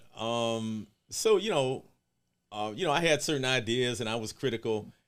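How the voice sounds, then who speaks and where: This man has an unremarkable speaking voice, medium in pitch with ordinary pitch variation. He keeps a moderate pace on a very clean recording with a silent background. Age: 60s. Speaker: community organization director. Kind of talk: casual chat.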